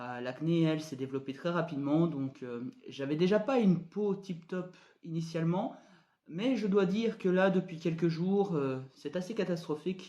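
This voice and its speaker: At a moderate pace, a high-pitched man speaks with a dark, mellow tone and ordinary pitch variation. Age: 20s. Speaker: vlogger. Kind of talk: personal video diary. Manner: hesitant, many fillers.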